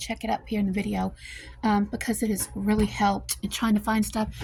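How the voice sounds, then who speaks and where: A soft-spoken woman at a fairly quick pace, with an American accent. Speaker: home cooking vlogger. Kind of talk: casual vlog tutorial. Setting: home kitchen. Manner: casual with many fillers.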